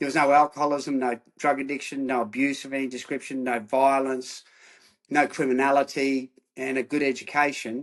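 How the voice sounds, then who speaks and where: An Australian-accented man, fairly high-pitched, at a fairly quick pace against a quiet background. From Australia, Queensland (Rockhampton). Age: 60s. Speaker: former rugby player turned counsellor. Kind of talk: interview.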